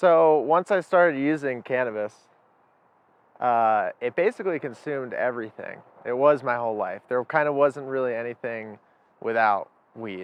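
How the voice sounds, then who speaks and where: An ordinary speaking voice. It moves at a moderate pace with ordinary pitch variation. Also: man, medium pitch for a man. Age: 20s. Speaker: former cannabis user interviewee. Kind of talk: interview testimony.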